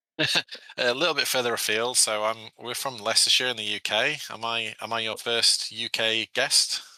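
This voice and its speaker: Speaking with a British accent at a moderate pace and hardly any pauses, a man with a medium pitch has a bright, sharp tone and fairly even intonation, recorded dry and close with no echo. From England, Sheffield area. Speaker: board game designer. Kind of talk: podcast interview.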